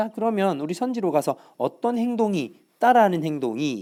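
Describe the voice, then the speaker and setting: A man with a dark, mellow tone makes very wide pitch swings on a very clean recording with a silent background. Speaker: high school English teacher. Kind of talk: recorded lecture. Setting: tablet whiteboard recording.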